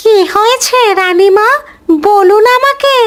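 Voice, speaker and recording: Squeaky and extremely high in pitch, a woman's cartoonish character voice shifts in pitch in an ordinary way. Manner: respectful, eager.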